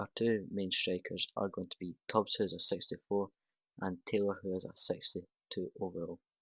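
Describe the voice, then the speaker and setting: In a Scottish accent, the speaker talks at a moderate pace with flat, monotone intonation, the sound dry and close with no echo against a quiet background. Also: man. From Scotland. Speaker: gaming youtuber. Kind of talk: gameplay commentary. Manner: casual, conversational.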